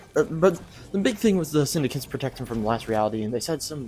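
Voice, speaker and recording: Soft-spoken, the voice moves at a fairly quick pace. Noticeable background noise can be heard. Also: man. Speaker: gaming YouTuber. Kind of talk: video game review. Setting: home recording at night. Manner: halting. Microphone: quiet.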